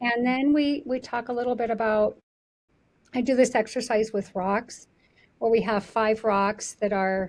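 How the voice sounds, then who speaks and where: A woman with an unremarkable speaking voice talks fairly slowly at a fairly high pitch with fairly even intonation, in a very clean recording with a silent background. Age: 50s. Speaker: therapist. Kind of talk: interview conversation. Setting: studio.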